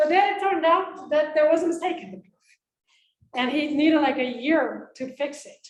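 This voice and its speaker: A woman speaks with a Dutch accent at a high pitch. Her pitch varies in an ordinary way, while her loudness swings widely. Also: moderate pace. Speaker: philosophy of logic academic. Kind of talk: conference talk. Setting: conference room with audience. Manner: casual, filler-heavy.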